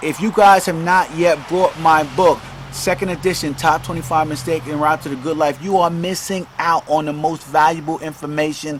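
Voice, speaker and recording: An unremarkable speaking voice at a moderate pace. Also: man. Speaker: self-help podcaster and author. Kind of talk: casual monologue podcast. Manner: filler-heavy, repetitive.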